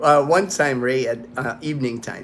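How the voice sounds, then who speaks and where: A man with an American accent, an unremarkable speaking voice, medium pitch and a moderate pace. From United States. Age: 50s. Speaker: livestream host, retired Air Force veteran. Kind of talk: casual livestream chat. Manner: casual, with frequent fillers and repetitions.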